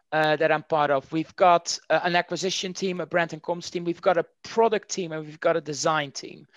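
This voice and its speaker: In a Dutch accent, a man talks at a fairly quick pace with hardly any pauses, a high pitch and fairly even intonation. His loudness swings widely, and the recording is very clean with a silent background. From Netherlands. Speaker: marketing executive. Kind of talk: interview.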